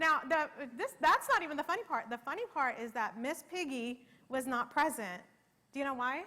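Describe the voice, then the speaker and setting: At a moderate pace, a woman uses a raised, projected voice, high in pitch with lively intonation. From Middle East and Pakistan, then US from age ten. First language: Arabic. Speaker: keynote speaker. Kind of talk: keynote speech.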